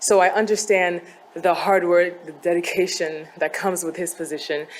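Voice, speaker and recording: A woman talks at a fairly low pitch with noticeable noise behind her. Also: fairly even intonation, moderate pace. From Côte d'Ivoire. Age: 20s. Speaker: beauty pageant contestant. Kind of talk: pageant speech.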